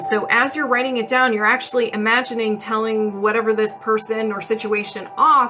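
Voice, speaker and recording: This woman's voice sits fairly high. Noticeable background noise runs behind her. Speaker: energy healer. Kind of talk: live-stream energy healing session with viewer questions. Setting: TikTok live stream. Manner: casual, conversational with fillers.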